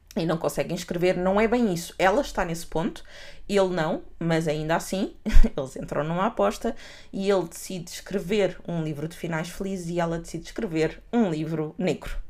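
Speaking at a moderate pace, a woman with a European Portuguese accent uses a fairly low pitch and ordinary pitch variation. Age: 30s. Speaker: podcast co-host. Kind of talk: casual chat.

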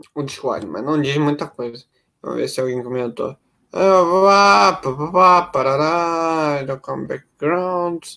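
The voice has a bright, sharp tone and ordinary pitch variation at a very slow pace. The recording is very clean, with a silent background. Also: man, fairly high pitch for a man. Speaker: music review podcaster. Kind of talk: casual music analysis commentary. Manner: halting, repeats words; animated.

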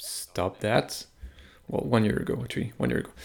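A man with a French accent speaks at a fairly low pitch in a dark, mellow tone. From France. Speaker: hockey analytics podcaster. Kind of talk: casual chat.

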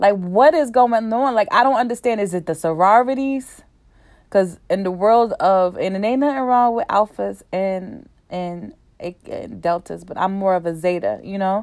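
A woman's medium-pitched voice at a moderate pace, animated in tone with lively intonation. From New Jersey. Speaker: podcast host. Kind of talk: casual chat.

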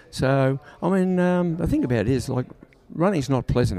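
Ordinary in pitch variation, a man speaks with an Australian accent. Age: 70s. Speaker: sprint coach for boxers. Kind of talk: casual interview. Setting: backstage at a boxing event.

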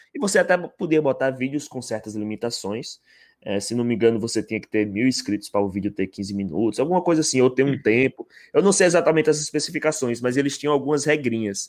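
A man talks at a very fast pace with lively intonation. His pitch is medium, and the background is quiet. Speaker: YouTube interviewer. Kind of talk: casual chat. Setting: live stream.

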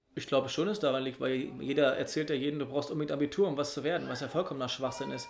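This man's fairly high voice rushes along at a very fast pace with hardly any pauses. Intonation stays fairly even over noticeable background noise. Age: 30s. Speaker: secondary school teacher. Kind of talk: casual chat.

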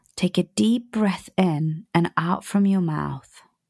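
Recorded very cleanly against a silent background with a dry, close sound and no echo, a woman speaks very slowly in a dark, mellow, calm and soothing tone with lively intonation. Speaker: podcast host and business coach. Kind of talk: guided meditation, visualisation exercise. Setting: home recording, relaxed. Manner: slow, soft, calm, soothing, with gentle pauses; warm, affectionate, intimate.

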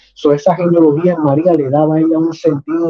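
A man speaks at a fairly high pitch with a Puerto Rican accent. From Puerto Rico (Caguas, San Lorenzo) and Florida. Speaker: pastor and theology teacher. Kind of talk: theological dialogue.

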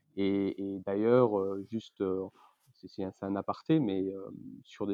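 This man has an unremarkable speaking voice with a fairly low pitch. He talks at a moderate pace. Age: 30s. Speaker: investment banker. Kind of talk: interview.

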